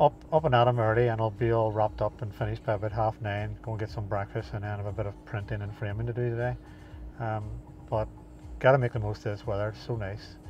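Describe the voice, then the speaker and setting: At a very fast pace, a somewhat breathy man with a fairly low pitch and ordinary pitch variation speaks in a dry sound with no echo and light background noise. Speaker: runner vlogger. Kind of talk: casual vlog chat. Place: car. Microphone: lapel.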